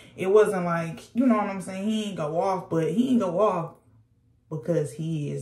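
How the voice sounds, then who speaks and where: A woman speaks in an animated, somewhat breathy voice with ordinary pitch variation. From US, moved to Georgia. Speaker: YouTuber. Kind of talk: casual storytime vlog.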